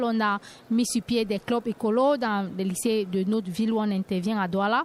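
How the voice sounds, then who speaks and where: A woman's plain, everyday voice at a moderate pace. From Cameroon. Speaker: cooperative co-founder, environmental activist. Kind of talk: radio panel discussion. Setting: live radio set at a forum.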